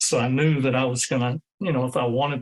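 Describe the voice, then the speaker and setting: A man at medium pitch with a Texan accent and monotone, flat intonation. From Texas Hill Country. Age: 60s. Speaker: retired teacher and coach. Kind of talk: interview. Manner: hesitant, many fillers.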